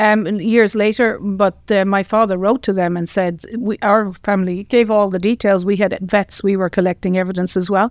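A woman with an Irish accent, monotone and flat, at a moderate pace with hardly any pauses, in a dry, close sound with no echo against a quiet background. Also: medium pitch for a woman. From Ireland, County Tipperary. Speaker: retired professor and scientist. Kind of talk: interview.

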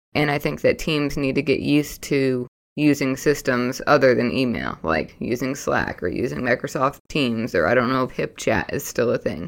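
A woman's very deep, low pitch with vocal fry, ordinary pitch variation and hardly any pauses. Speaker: podcast co-host. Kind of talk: casual chat. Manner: fast.

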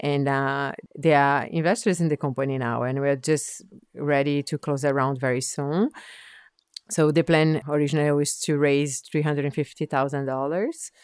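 At a moderate pace, the speaker talks with fairly even intonation in a Portuguese accent. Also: woman, very deep, low pitch for a woman. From Brazil. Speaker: biotech startup founder and scientist. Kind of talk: interview.

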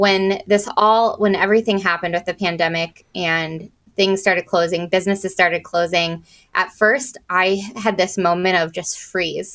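In a very clean recording with a silent background, a woman with a normal speaking voice talks at a moderate pace, her medium pitch held in fairly even intonation. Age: 30s. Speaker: marketing consultant and record store owner. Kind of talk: podcast interview.

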